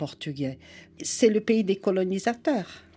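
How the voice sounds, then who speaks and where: With lively intonation, a woman speaks on a very clean recording with a silent background. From Brazil. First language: Portuguese (speaking French). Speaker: psychoanalyst and writer. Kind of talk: radio interview.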